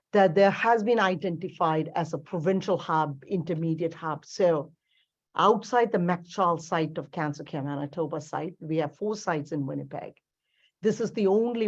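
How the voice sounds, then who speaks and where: A woman speaks in an unremarkable speaking voice, fairly low in pitch, at a moderate pace. Her pitch varies in an ordinary way, and the background is quiet. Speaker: cancer care executive. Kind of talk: presentation.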